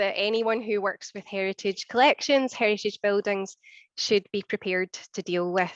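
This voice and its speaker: The voice carries a Scottish accent and fairly even intonation, recorded with a dry, close sound with no echo against a quiet background. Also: woman. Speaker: archivist and collections manager. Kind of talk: conference presentation. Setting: seminar with audience.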